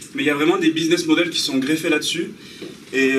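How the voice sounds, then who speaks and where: A man talks with a slight Basque accent. Audible room echo and noticeable background noise fill the recording. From French Basque Country. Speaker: software developer giving a talk. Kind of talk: conference talk. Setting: talk in front of an audience, filmed. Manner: casual, hesitant with many fillers.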